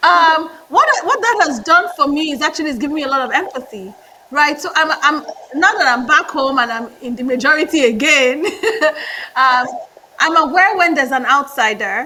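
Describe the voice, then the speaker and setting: A woman speaks in a raised, projected voice at a high pitch and moderate pace, with lively intonation and big swings in loudness. Noticeable background noise is present. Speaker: management consultant, MBA graduate. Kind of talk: interview.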